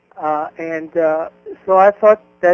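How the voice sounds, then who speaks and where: Fairly slow speech with an Arabic accent. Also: man. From Egypt, Cairo. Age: 50s. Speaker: independent egyptologist and author. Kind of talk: interview. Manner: halting, many fillers.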